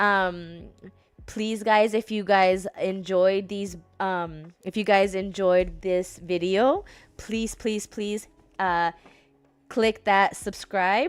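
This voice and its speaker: A woman's medium-pitched voice at a very slow pace, with fairly even intonation, on a very clean recording with a silent background. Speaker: book vlogger. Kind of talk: casual talk to camera. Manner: halting, many fillers and restarts.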